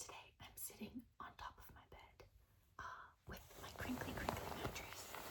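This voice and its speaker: Whispered words come at a moderate pace, broken by long, frequent pauses, against noticeable background noise. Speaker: ASMR creator. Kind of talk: casual ASMR talk to camera.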